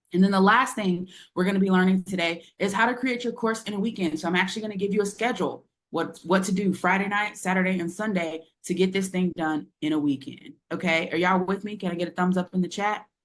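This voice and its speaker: A woman with a medium pitch speaks at a very fast pace with ordinary pitch variation. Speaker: business coach. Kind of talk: webinar presentation. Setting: live webinar with chat. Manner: animated.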